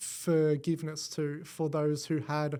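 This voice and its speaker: An Australian accent marks this man's voice, which has a fairly high pitch and a dark, mellow tone. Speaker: AV design engineer. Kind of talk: podcast interview answer.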